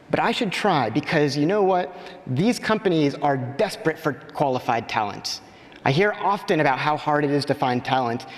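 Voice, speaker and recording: Against noticeable background noise, a man with an American accent talks at a moderate pace, his fairly high pitch moving in lively intonation at very even loudness. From United States. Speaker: conference speaker. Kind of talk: conference talk. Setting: stage with audience. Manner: animated.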